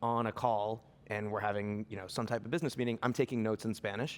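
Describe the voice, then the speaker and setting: Speaking with fairly even intonation, a man with an American accent has a plain, everyday voice at a medium pitch. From Boston, Argentinian family. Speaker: businessman, panel guest. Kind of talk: panel discussion. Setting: stage with audience.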